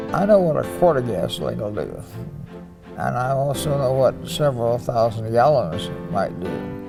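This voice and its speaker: Music plays in the background as a man talks at a fairly slow pace. His medium-pitched voice moves through very wide pitch swings. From United States. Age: 80s+. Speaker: Pearl Harbor survivor, navy veteran. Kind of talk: interview answer.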